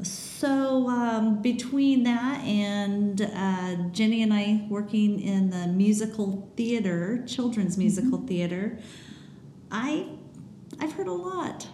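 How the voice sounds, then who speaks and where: A woman at a fairly high pitch with ordinary pitch variation and a very slow pace, amid noticeable background noise and audible room echo. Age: 50s. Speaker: podcast host, mother of teens. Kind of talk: casual chat.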